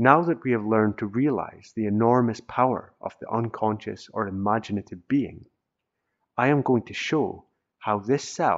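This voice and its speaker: At a moderate pace, a man with a plain, everyday voice speaks in a medium pitch with ordinary pitch variation. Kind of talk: audiobook reading of a self-help text.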